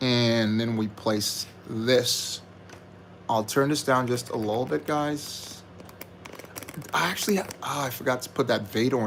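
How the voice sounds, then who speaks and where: Over noticeable background noise, a soft-spoken man talks at a fairly slow pace. His pitch variation is ordinary. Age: adult. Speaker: LEGO building streamer. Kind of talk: live stream building commentary. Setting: live stream. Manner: speaking softly.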